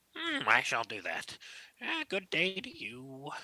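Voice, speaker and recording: Putting on a character voice, a man talks fairly slowly at a high pitch. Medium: actual play. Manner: slow, humming "mm" before speaking.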